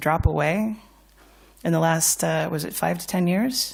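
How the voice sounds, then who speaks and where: With an American accent, a woman speaks at a moderate pace in a fairly low pitch with vocal fry and ordinary pitch variation, in a very clean recording with a silent background. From United States. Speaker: financial services speaker. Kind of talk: conference talk. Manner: animated.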